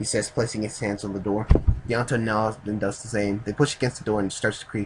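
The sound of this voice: The reading voice is unforced. Nothing about it sounds pushed.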